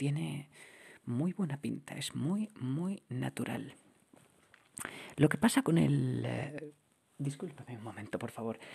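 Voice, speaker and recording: The speaker whispers softly at a very slow pace. Long pauses come often. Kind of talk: ASMR roleplay as a TV sound technician. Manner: soft-spoken, whispered.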